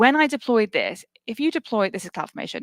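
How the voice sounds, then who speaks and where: Dry and close with no echo, a woman speaks very fast in a British accent with very wide pitch swings. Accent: British (UK). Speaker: tech cloud cost livestream co-host. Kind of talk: live tech demo stream.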